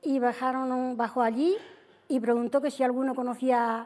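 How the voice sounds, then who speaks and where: A woman speaks at a high pitch in a dark, mellow tone. Her intonation is fairly even over a quiet background. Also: very even loudness. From Spain, Extremadura (Cáceres). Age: 70s. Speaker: widow, TV show guest. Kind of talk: interview storytelling. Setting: TV studio with audience. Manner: halting. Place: studio. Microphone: lapel.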